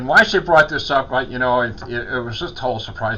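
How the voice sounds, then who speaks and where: Over noticeable background noise, a man at medium pitch speaks at a very fast pace. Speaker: chaplain. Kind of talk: casual talk to camera.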